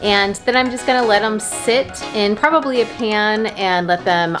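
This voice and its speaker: A woman speaks at a fairly slow pace with clear music playing behind her. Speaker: home vlogger. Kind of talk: casual vlog chat. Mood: pleased, upbeat. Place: kitchen. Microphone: phone near.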